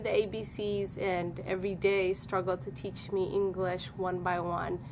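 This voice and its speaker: A woman speaks with a Somali accent. Her pitch sits in the medium range. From Somalia. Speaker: former student giving testimonial. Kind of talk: testimony.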